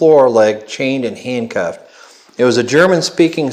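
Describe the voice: This recording is plain reading aloud.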